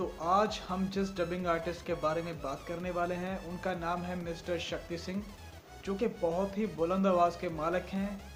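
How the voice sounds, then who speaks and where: With music in the background, a man speaks at a high pitch in monotone, flat intonation. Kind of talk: casual talk to camera, YouTube channel introduction.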